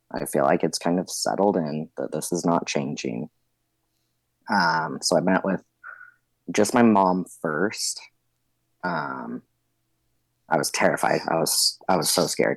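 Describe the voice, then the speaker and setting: With an American accent and vocal fry, the speaker goes at a fairly slow pace with ordinary pitch variation and long, frequent pauses. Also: man, very deep, low pitch for a man. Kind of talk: casual interview. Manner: casual, hesitant with fillers.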